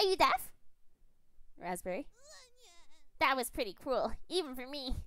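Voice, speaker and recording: Put-on character voice, pitched high, at a moderate pace. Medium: game stream. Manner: teasing, upbeat.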